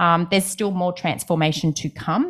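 A woman's fairly low voice with an Australian accent, at a moderate pace, on a very clean recording with a silent background. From Brisbane, Australia. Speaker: property podcast co-host. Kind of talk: casual chat.

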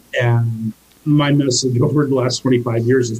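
Intonation here is monotone and flat. A somewhat breathy quality runs through the voice. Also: man. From US, army family, moved around. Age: 50s. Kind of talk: interview.

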